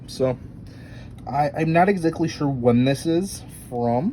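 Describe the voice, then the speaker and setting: A man speaks with ordinary pitch variation. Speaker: theme park video creator. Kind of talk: casual show-and-tell narration. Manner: halting, many fillers.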